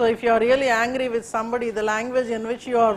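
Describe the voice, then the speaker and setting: Very fast, high-pitched female speech with a Pakistani accent, amid noticeable background noise. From India, Telugu-speaking region. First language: Urdu. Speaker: civil service exam coaching teacher. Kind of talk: classroom lecture. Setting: classroom with students. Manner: hesitant, many fillers; code-switching Hindi and English.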